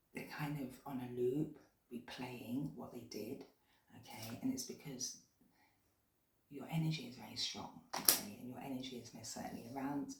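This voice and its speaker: Quiet and with a British accent, a woman with a very deep, low pitch talks at a moderate pace with ordinary pitch variation, big swings in loudness and long, frequent pauses, amid noticeable background noise and audible room echo. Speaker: tarot reader. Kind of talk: tarot reading. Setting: at home late at night. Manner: speaking quietly.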